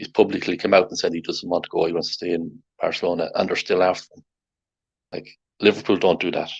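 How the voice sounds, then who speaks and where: Speaking at a very fast pace, a man with an Irish accent makes big swings in loudness. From Ireland. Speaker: football podcast host. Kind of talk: casual chat.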